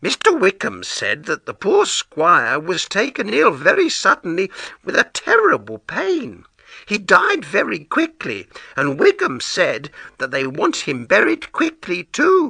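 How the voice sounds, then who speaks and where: In a put-on character voice with a high pitch, a man speaks at a fairly slow pace, with a dry, close sound and no echo. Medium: read story. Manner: excited, anxious.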